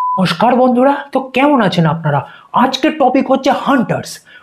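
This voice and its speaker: With noticeable background noise behind him, a man speaks at an extremely high pitch and a very even loudness. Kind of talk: comedic roast commentary. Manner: sarcastic, joking.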